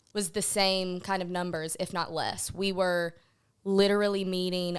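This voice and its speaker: A woman speaks at a moderate pace with a fairly low pitch and fairly even intonation. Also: very clean recording, silent background. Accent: Southern US. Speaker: film producer. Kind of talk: podcast interview.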